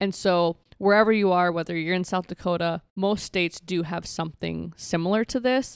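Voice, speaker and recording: A woman with an American accent talks at a moderate pace in a normal speaking voice, fairly low in pitch with fairly even intonation and hardly any pauses, on a very clean, silent recording with a dry, close sound and no echo. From rural Minnesota. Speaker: mental health advocate. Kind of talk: interview.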